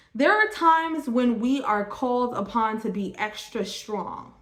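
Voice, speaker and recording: Here a woman talks with ordinary pitch variation. Noticeable noise runs in the background. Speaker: tarot card reader. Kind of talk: tarot reading monologue. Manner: stumbling over words.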